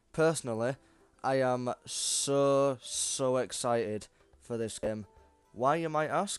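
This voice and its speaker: Music plays in the background as a man speaks at a very slow pace and medium pitch. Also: ordinary pitch variation. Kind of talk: casual gaming commentary to camera.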